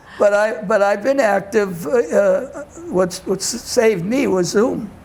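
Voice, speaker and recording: Amid noticeable background noise, a man with an American accent speaks fairly slowly at a high pitch, with ordinary pitch variation and very even loudness. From Boston, Massachusetts (Dorchester). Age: 90s. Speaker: community elder and discussion group facilitator. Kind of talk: interview. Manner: halting.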